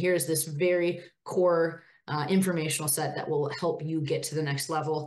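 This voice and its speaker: In an Upper Midwest accent, a woman speaks at a fairly low pitch with fairly even intonation. Audible room echo surrounds her voice. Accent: Upper Midwest (Minnesota). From northern Minnesota, near Duluth. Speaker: women's hockey administrator, former college player. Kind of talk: interview.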